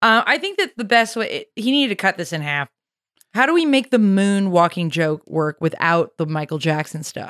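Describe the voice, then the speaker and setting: Recorded very cleanly against a silent background, a woman with an American accent talks at a moderate pace in a medium pitch, her voice swinging very widely up and down. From US South, Nashville, Tennessee. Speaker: comedy producer and podcast co-host. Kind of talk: casual comedic chat.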